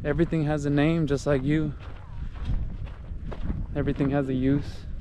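Fairly even intonation at a moderate pace, a dry sound with no echo, and noticeable background noise. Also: man. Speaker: vlogger on a nature hike. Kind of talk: casual vlog chat. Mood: reflective, appreciative. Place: open country. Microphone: phone near.

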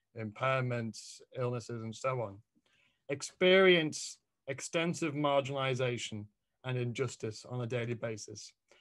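Against a quiet background, a man talks with a British accent. His pace is moderate. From England. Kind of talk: academic presentation. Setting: video call. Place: home room. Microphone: video call.

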